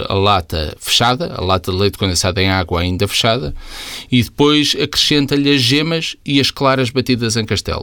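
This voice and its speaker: Lively intonation and a bright, sharp tone mark this man's fairly low voice, delivered at a moderate pace. The recording is very clean, with a silent background. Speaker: podcast co-host. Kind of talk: casual chat.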